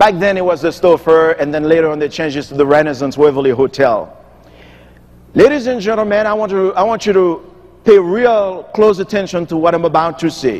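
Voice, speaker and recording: With a Haitian accent, a man speaks in a high voice, animated in tone and lively in intonation. Noticeable background noise runs underneath. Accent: Haitian Creole-accented English. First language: Haitian Creole or French. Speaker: motivational speaker. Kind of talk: keynote speech. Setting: stage with audience.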